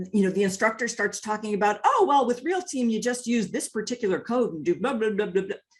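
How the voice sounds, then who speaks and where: A woman talks very fast at a fairly high pitch. Her intonation is lively. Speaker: software training manager. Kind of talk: webinar presentation. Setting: webinar.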